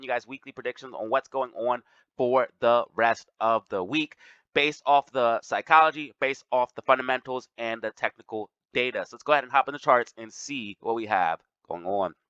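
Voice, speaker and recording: A bright, sharp tone at a fairly quick pace, with ordinary pitch variation, big swings in loudness and a dry, close sound with no echo. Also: man. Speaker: stock market youtuber. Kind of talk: market analysis commentary.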